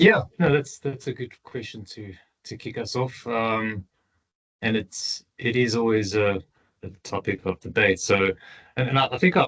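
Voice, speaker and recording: In a South African accent, the speaker talks at a fairly slow pace with ordinary pitch variation and big swings in loudness. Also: man, medium pitch for a man. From South Africa, Johannesburg. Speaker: tailings engineer. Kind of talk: interview. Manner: halting, many repeated words.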